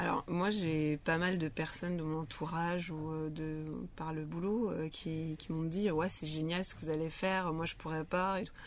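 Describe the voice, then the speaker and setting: A woman's very deep, low voice, fairly even in intonation, at a fairly slow pace. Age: 30s. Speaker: hairdresser and rally participant. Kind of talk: casual interview. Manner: halting.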